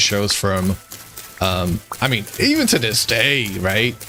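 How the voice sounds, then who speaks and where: Against noticeable background noise, a man talks at a moderate pace in a relaxed tone. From born in Eastern Europe (Moldova), grew up in the US. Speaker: gaming streamer. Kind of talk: casual chat while gaming, reading chat. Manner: relaxed, filler-heavy.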